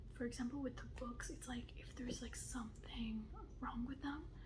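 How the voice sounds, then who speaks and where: Whispered, soft-spoken words from a woman against noticeable background noise. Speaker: ASMR creator. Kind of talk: casual talk to camera, book haul.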